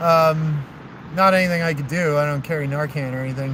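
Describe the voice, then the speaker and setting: Against noticeable background noise, the talking proceeds at a moderate pace. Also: man. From New Jersey. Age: 30s. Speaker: long-distance walker vlogger. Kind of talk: casual vlog chat to live viewers. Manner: rambling with many fillers.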